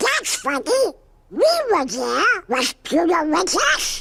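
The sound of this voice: A squeaky, high-pitched cartoonish character voice at a fairly slow pace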